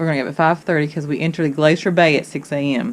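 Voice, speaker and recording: Speaking very fast in a Kentucky accent, a woman keeps her intonation fairly even. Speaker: travel vlogger. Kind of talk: casual vlog chat. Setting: on a cruise ship balcony. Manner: halting, many fillers.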